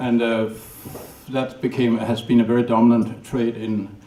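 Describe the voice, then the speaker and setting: A man with a Danish accent speaks at a moderate pace. Noticeable background noise and audible room echo surround him. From Denmark, north of Copenhagen. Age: 60s. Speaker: documentary filmmaker. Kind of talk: lecture. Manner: halting.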